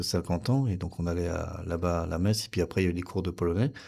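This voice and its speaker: With a Polish accent, a man talks at a very fast pace in a very deep, low pitch and a dark, mellow tone. His intonation is fairly even, and the recording is very clean with a silent background. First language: Polish (speaking French). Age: 50s. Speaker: interview guest, son of Polish immigrant. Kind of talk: radio interview. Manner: halting, many hesitations.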